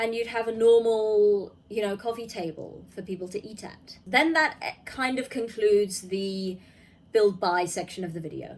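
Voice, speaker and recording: In an ordinary speaking voice of medium pitch, a woman talks at a moderate pace with ordinary pitch variation and big swings in loudness. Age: 20s. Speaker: gaming YouTuber. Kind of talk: video review commentary. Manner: casual with frequent fillers.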